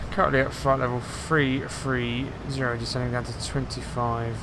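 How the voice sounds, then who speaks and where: Monotone, flat intonation at a moderate pace, with audible room echo and noticeable background noise. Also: man. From England, near London. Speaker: flight sim streamer. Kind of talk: live gameplay commentary. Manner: loud; casual, chatty.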